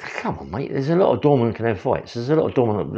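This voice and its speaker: Against a quiet background, a man speaks at a very fast pace with vocal fry. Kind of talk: casual vlog chat. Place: kitchen. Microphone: phone near.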